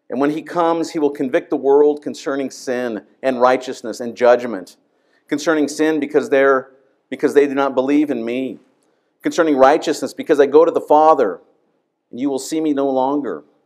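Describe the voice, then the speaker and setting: With fairly even intonation, a man speaks at a moderate pace against a quiet background. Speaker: pastor. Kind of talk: scripture reading in a sermon. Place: church. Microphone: podium.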